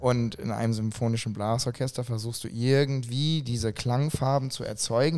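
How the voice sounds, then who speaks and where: The recording is very clean, the background silent. His dark, mellow voice keeps a fairly even intonation as the man talks. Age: 30s. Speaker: event organizer and musician. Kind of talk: casual chat.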